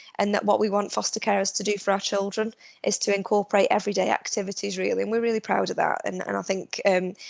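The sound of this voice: Fast and marked by vocal fry, a woman's medium-pitched voice shows little pitch movement.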